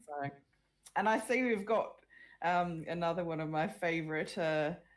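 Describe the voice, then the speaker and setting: This woman has an Australian accent. Her pitch is fairly low and varies in an ordinary way. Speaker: web panel host, author. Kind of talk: online panel discussion.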